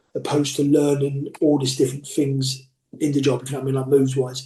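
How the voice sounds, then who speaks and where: A man talks very fast in a fairly high, somewhat breathy voice with a dark, mellow tone. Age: 40s. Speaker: professional wrestler. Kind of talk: interview.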